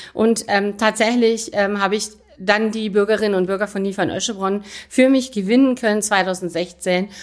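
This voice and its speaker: It's an unremarkable speaking voice with fairly even intonation. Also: woman, medium pitch for a woman, moderate pace. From Rhineland, Aachen. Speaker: mayor. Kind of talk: interview. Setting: town hall office.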